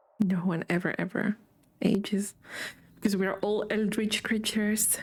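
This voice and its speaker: A woman with a non-native accent speaks at a moderate pace in a somewhat breathy voice with monotone, flat intonation. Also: medium pitch for a woman. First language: not English. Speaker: vtuber streamer. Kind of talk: gaming livestream commentary. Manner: casual, chatty. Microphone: echoey microphone.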